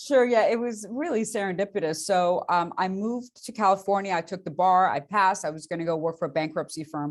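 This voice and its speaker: A woman speaks at a fairly quick pace with hardly any pauses, her pitch medium and its variation ordinary. The background is quiet. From immigrant, grew up in Beaumont, Texas. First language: not English. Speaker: bank lending executive. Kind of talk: interview. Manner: lively.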